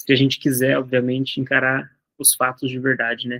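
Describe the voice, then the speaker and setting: In a dry, close sound with no echo, a man talks at a medium pitch. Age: 20s. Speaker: entrepreneur and content creator. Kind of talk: casual monologue vlog. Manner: fast; halting, with false starts.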